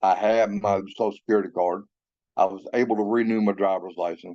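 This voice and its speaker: A man with an American accent speaks at a fairly low pitch. His pace is moderate. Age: 60s. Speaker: formerly incarcerated veteran sharing reentry experience. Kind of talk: testimony.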